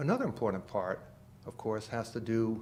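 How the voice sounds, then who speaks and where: With a Boston accent, a man talks at a fairly low pitch. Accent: Boston accent, still audible. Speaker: engineer, philanthropist, company founder. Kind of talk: interview.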